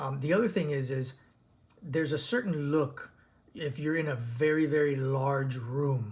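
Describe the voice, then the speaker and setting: A man talks at a moderate pace, his voice fairly high and somewhat breathy, with ordinary pitch variation. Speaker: DJ and speaker reviewer. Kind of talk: unscripted product review video. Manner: halting, many fillers and repeats.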